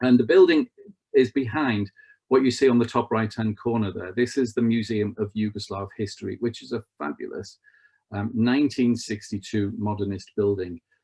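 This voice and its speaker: With a Liverpool accent, a man speaks at a moderate pace in a dry, close sound with no echo. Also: medium pitch for a man, ordinary pitch variation. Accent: Scouse. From northern England, Merseyside. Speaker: travel expert. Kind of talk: online presentation with slides. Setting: online video event. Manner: conversational, with frequent fillers.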